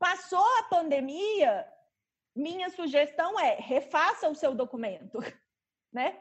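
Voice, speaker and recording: A woman's extremely high-pitched voice at a very slow pace, with very wide pitch swings and long, frequent pauses. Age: 30s. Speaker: lawyer and bioethics specialist. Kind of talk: interview.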